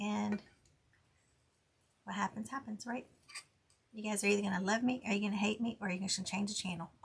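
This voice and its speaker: A woman of medium pitch with vocal fry talks at a fairly quick pace with fairly even intonation and long, frequent pauses. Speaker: crafter and tumbler maker; Air Force veteran. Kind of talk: casual tutorial.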